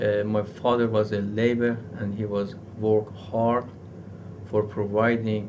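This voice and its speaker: A man with a fairly low pitch speaks at a very slow pace in a monotone, flat intonation. Audible room echo and noticeable background noise surround him. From Iran. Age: 40s. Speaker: university professor. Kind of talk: interview. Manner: halting.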